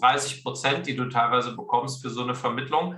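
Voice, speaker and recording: Room echo can be heard as this man talks at a moderate speed. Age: 40s. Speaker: career and sales coach, author. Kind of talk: interview. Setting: video call.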